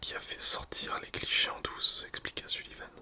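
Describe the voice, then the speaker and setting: Whispered words come at a fairly quick pace amid noticeable background noise. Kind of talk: whispered book reading.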